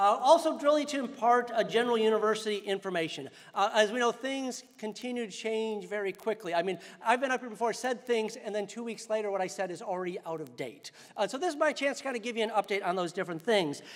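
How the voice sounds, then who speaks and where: A man's high-pitched, animated voice at a very fast pace, with ordinary pitch variation. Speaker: college dean. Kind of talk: convocation address. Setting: stage with audience.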